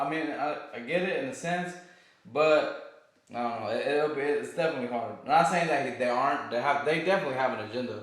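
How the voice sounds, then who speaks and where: A man's fairly high voice at a very fast pace, with noticeable background noise and audible room echo. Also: ordinary pitch variation. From outside the US. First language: not English. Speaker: podcast co-host. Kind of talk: casual chat. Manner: halting, with self-corrections.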